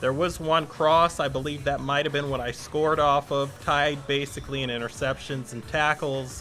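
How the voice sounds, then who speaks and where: A man's fairly high, monotone voice with flat intonation and an American accent, at a moderate pace with hardly any pauses, music in the background. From US West Coast. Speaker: gaming streamer. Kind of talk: live gameplay commentary. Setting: live stream. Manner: casual, conversational.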